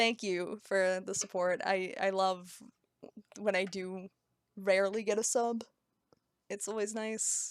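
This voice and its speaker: Speaking at a medium pitch with monotone, flat intonation, a woman goes at a very slow pace with long, frequent pauses. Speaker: streamer. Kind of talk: casual live-stream chat while drawing. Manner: stumbles over words.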